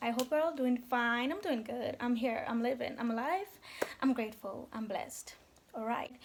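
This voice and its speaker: Speaking at a moderate pace with a Jamaican accent, a woman uses a high pitch with ordinary variation. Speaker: call centre agent. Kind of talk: casual talk to camera. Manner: chatty, storytelling.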